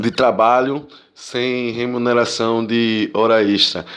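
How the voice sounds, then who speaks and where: A man speaks with flat, monotone intonation. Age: 30s. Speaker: delivery courier. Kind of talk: recorded testimony.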